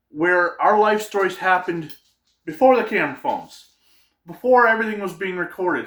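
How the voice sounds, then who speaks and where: A man with an upstate New York accent talks very fast in a high voice, recorded very cleanly against a silent background. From upstate New York, Adirondacks. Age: 40s. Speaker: YouTuber. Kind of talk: casual vlog monologue.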